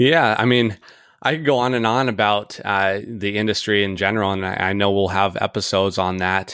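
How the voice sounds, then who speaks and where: In a very clean recording with a silent background, a man with an American accent and an ordinary speaking voice talks at a fairly quick pace with fairly low pitch and ordinary pitch variation. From US Pacific Northwest (Edmonds, Washington). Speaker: financial planner and firm founder. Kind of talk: casual interview.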